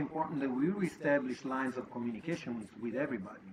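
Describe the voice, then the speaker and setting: Over noticeable background noise, a man with an Italian accent talks at a very fast pace and fairly high pitch, with ordinary pitch variation. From Italy. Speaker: podcast host. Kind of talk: monologue podcast talk.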